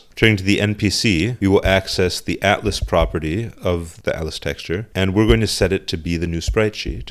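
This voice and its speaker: A man with a very deep, low voice and vocal fry talks at a fairly quick pace with hardly any pauses and ordinary pitch variation. The recording is very clean, with a silent background. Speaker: game development tutorial creator. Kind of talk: software tutorial narration.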